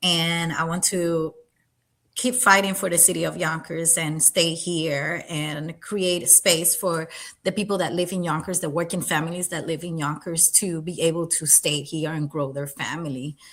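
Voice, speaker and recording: Speaking at a moderate pace with a Spanish accent, a woman keeps her fairly low voice in a fairly even intonation. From Puerto Rico. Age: 30s. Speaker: political candidate. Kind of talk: interview. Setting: livestream.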